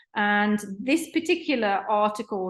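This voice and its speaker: A woman's medium-pitched voice, fairly slow pace and lively intonation, over a quiet background. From UK. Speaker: professor. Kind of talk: lecture. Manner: hesitant fillers.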